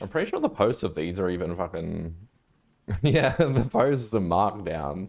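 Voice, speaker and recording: A man with an Australian accent speaks at a moderate pace in a fairly low voice with very wide pitch swings. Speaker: livestreamer, programmer. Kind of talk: casual live stream chat.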